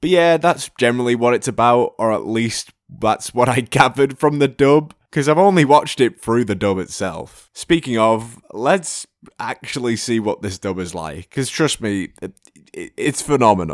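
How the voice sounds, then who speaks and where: On a very clean recording with a silent background, a man with a British accent talks with lively intonation. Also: medium pitch for a man, moderate pace, dry, close sound with no echo. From Britain. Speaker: anime YouTuber. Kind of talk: video essay commentary. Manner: casual, humorous.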